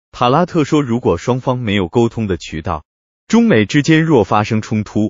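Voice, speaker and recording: Medium pitch for a man, with very wide pitch swings. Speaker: political commentary narrator. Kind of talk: scripted narration.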